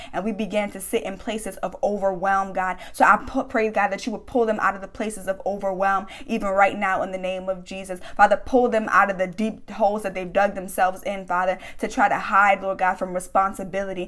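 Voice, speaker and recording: A woman speaks in a passionate tone at medium pitch, fairly quickly and with hardly any pauses. Her intonation stays monotone and flat. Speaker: prayer leader. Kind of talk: fervent spoken prayer. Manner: earnest, passionate, declaring; rhythmic, repetitive, with frequent hallelujahs. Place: home room. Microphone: phone near.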